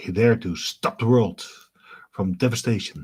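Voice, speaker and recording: A man talks with a Dutch accent. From Netherlands. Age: 30s. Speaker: gaming streamer. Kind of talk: live stream gameplay commentary. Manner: casual, conversational.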